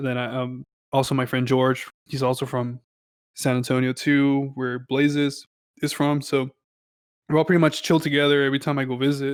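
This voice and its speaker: With an American accent, a man talks at a moderate pace in a fairly high pitch and monotone, flat intonation. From Texas, El Paso. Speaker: music producer. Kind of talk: casual interview chat. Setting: podcast interview.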